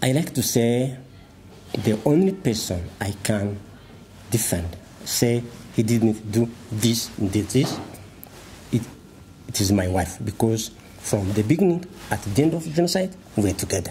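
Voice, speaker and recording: With light background noise behind him, a man of medium pitch speaks in a Rwandan accent, his pitch swinging very widely between long, frequent pauses. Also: moderate pace. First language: Kinyarwanda. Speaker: tribunal prosecution counsel; former tribunal lawyer. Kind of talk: interview; interview answer. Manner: halting. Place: office.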